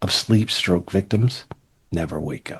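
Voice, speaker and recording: A man with an American accent speaks at a fairly slow pace in a dark, mellow tone, his intonation lively. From Louisiana and Texas (Shreveport, Dallas). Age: 50s. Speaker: former tech executive and author. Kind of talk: interview storytelling. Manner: animated.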